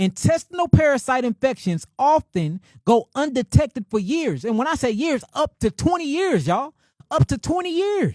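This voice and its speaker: A man with a St. Louis accent at an extremely high pitch, very wide pitch swings and a moderate pace, very clean recording with a silent background, dry, close sound with no echo. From St. Louis, Midwestern United States. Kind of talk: informal, emphatic.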